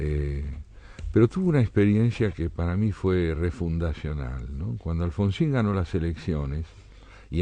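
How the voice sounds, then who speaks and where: Very deep and low, a man's dark, mellow voice moves at a moderate pace with ordinary pitch variation. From Argentina. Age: 70s. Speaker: essayist and poet. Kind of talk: radio interview.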